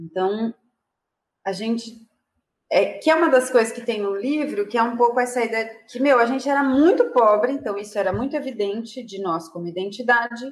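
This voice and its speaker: A woman's high-pitched voice moves at a moderate pace with ordinary pitch variation. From Brazil, Mauá in São Paulo's ABC region. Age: 30s. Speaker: author and activist. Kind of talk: interview. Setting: video call.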